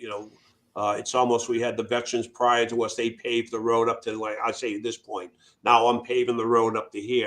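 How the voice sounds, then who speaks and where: With a Boston accent, a man talks at a fairly quick pace in a monotone, flat intonation. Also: medium pitch for a man, quiet background. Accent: New England (Boston area). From Massachusetts, Worcester. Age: 60s. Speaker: Air Force veteran, nonprofit founder. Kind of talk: interview conversation. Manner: halting, many fillers.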